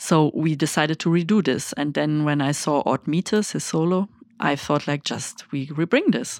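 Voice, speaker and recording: A woman's very deep, low pitch with ordinary pitch variation at a moderate pace, on a very clean recording with a silent background. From Germany. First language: German. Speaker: festival artistic director. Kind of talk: interview. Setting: studio.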